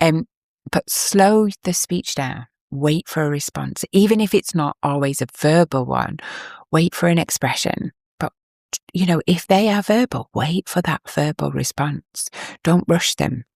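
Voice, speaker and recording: In a dry, close recording with no echo, a woman speaks fairly slowly at a fairly low pitch with ordinary pitch variation. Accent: English. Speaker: parenting podcast host. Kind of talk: podcast monologue, advice. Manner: warm.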